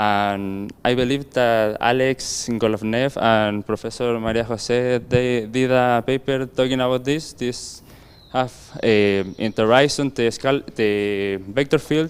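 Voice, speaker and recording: This man's delivery is fairly slow, his intonation fairly even and his pitch medium. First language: not English. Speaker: physicist presenting a talk. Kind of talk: conference Q&A. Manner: halting.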